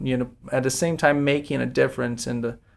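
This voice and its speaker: In a very clean recording with a silent background, a man talks in a flat, monotone way. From Brazil. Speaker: personal injury attorney. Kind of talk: podcast interview.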